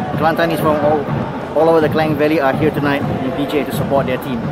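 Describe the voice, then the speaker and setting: Over music in the background, a man talks at a very fast pace in a dry sound with no echo. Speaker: football fan vlogger. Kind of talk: casual vlog commentary. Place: stadium. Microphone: phone near.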